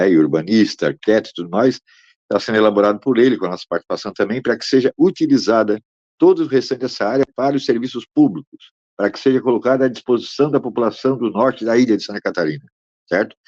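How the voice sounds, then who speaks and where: A man talks at a very fast pace, his voice dry and close with no echo. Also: medium pitch for a man, ordinary pitch variation. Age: 60s. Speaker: land rights activist. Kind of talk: interview.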